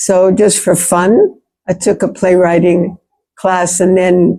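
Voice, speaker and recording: A woman's fairly low, dark and mellow voice with an American accent, monotone and flat, at a very slow pace. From US, New York. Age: 70s. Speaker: playwright and theatre practitioner. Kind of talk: seminar talk.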